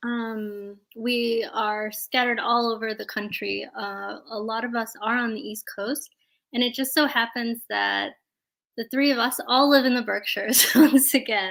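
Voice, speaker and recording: A woman with an American accent uses a normal speaking voice, fairly high in pitch, speaking at a fairly slow pace with fairly even intonation. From South India (Kerala), moved to US at four and a half. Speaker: community organizer, project leader. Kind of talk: online event presentation. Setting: livestreamed video call.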